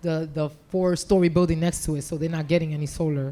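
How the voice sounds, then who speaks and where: A woman with an American accent talks at a fairly quick pace and fairly low pitch. Her tone is dark and mellow, her intonation fairly even. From New York. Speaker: city government official. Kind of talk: panel discussion.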